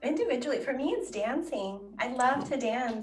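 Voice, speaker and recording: A woman with a Spanish accent at a moderate pace, ordinary pitch variation and audible room echo. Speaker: education manager. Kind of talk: podcast interview.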